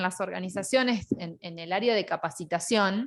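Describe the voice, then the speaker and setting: Lively intonation marks this woman's speech. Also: very clean recording, silent background. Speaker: online course teacher. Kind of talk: lecture. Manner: loud.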